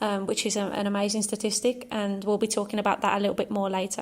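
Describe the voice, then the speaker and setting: A woman with an English accent talks at a fairly quick pace in a fairly high pitch. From England. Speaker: football club podcast host. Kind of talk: casual chat.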